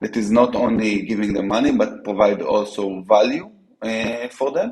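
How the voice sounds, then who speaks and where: A man with an Israeli accent, a fairly low pitch, ordinary pitch variation and a fairly slow pace. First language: Hebrew. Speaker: startup co-founder. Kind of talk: interview. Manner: halting, many fillers and restarts.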